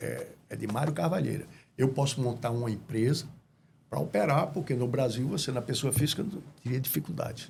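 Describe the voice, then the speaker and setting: This man speaks fairly quickly at a medium pitch, with lively intonation and vocal fry. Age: 70s. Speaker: businessman, restaurant franchisee. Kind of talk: interview.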